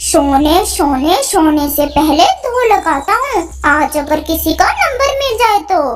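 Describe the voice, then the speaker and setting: Loud background noise sits under a cartoonish character voice that moves at a fairly slow pace. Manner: boastful, flirtatious.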